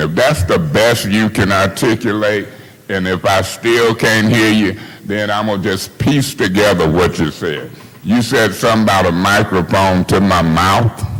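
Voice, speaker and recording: Over noticeable background noise, a man talks at a moderate pace in a fairly low pitch with ordinary pitch variation. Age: 60s. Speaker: city council member. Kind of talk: heated debate. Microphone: far from the mic.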